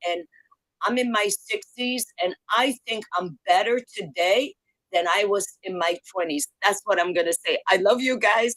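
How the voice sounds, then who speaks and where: In a plain, everyday voice, a woman speaks at a fairly slow pace with ordinary pitch variation and a dry, close sound with no echo. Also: medium pitch for a woman. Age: 60s. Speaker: caller. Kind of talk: brief call-in comment.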